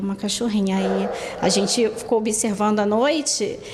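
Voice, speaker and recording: Amid audible room echo and noticeable background noise, a woman talks at a moderate pace. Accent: Rio de Janeiro. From Brazil, Rio de Janeiro. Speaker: dog owner. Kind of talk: testimony.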